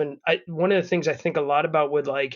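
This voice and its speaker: A man with an ordinary speaking voice talks at a moderate pace, his fairly high pitch held in a fairly even intonation. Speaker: podcast host, father. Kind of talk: casual podcast conversation.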